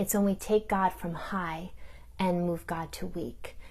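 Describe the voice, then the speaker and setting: The voice is somewhat breathy, delivered in a monotone with flat intonation. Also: woman. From New York, Italian-American community. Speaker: theologian. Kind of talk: recorded talk.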